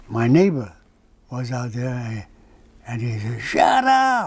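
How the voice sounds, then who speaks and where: Against noticeable background noise, a man with a Hawaiian accent speaks at medium pitch and a fairly slow pace. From Hawaii (Kauai). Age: 80s+. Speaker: singer. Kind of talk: interview. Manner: halting.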